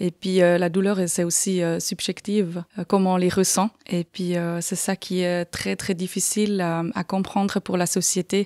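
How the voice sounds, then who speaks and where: A woman with a slight Swiss German accent speaks at a fairly slow pace in a dark, mellow tone, her medium pitch held in a monotone, flat intonation, on a very clean recording with a silent background and a dry, close sound with no echo. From Switzerland, canton of Aargau. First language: Swiss German (speaking French). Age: 40s. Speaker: patient sharing experience. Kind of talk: podcast interview. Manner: hesitant, many fillers.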